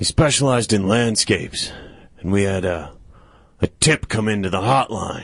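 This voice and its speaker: Using a raspy, put-on character voice at a fairly low pitch, a man talks at a moderate pace with long, frequent pauses. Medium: comedy sketch. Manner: rambling, hesitant.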